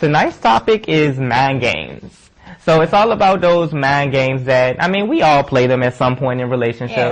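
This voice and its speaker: Noticeable background noise sits behind a man speaking at a moderate pace. His medium-pitched voice has lively intonation. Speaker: talk show co-host. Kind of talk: casual chat.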